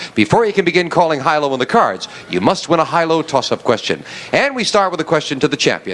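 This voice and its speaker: There is noticeable background noise as a man with an American accent talks at a very fast pace. His fairly high pitch carries lively intonation. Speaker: game show host. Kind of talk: game show hosting.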